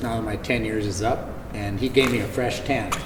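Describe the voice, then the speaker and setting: A man talks amid audible room echo, with background noise clearly noticeable. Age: 70s. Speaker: author and entrepreneur. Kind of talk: interview. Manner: halting.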